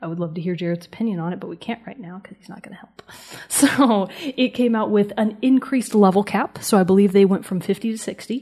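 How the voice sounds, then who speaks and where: Pitch shifts in an ordinary way here, at a fairly quick pace. It's an unremarkable speaking voice. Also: woman, medium pitch for a woman. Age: 20s. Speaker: gaming podcast co-host. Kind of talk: casual chat.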